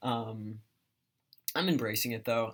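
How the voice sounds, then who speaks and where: A man's voice at a medium pitch, moderate pace and fairly even intonation, on a very clean recording with a silent background. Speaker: vlogger. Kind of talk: casual vlog update. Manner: hesitant, many fillers.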